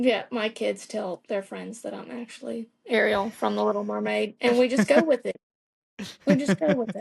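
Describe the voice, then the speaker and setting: A woman speaks in a Southern accent at a moderate pace. Her loudness swings widely. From Virginia, US South. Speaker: mortician and amateur actor. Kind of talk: interview.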